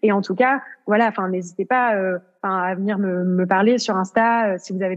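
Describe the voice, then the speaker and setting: The pace is fairly quick. The speaker has a plain, everyday voice. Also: woman. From rural France. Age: 20s. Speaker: yoga entrepreneur, online yoga platform founder. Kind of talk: casual interview.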